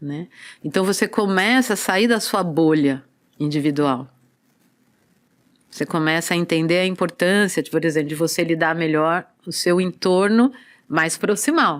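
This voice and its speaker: On a very clean recording with a silent background, a woman speaks at a fairly low pitch with ordinary pitch variation. She goes at a fairly slow pace with long, frequent pauses. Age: 60s. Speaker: movement and body-awareness teacher. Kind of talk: casual interview chat.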